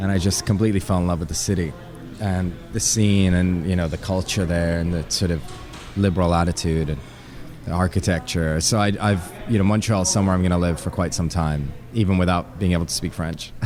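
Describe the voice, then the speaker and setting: A man speaks at a fairly quick pace in a very deep, low voice. His intonation stays fairly even, with music playing in the background. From Canada, Ottawa. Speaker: DJ and producer. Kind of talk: interview.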